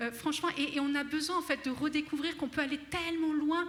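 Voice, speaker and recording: A woman's voice amid noticeable background noise. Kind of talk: spiritual teaching talk. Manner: fast; animated, enthusiastic.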